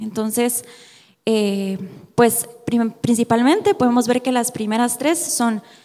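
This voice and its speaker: Here a woman speaks in a fairly high pitch. Her pace is moderate. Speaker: youth church speaker. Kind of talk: sermon. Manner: halting.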